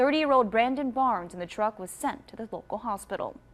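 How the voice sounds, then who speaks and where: A woman's normal speaking voice at a fairly quick pace, with ordinary pitch variation. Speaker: television news anchor. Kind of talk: local TV newscast anchor read. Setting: studio.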